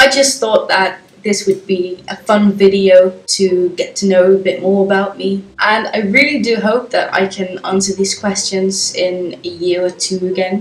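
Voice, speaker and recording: A woman speaks at a fairly slow pace with hardly any pauses, her pitch medium and intonation fairly even. Noticeable background noise runs under her voice. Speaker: YouTuber. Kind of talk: casual vlog, answering tag questions. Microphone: poor sound quality.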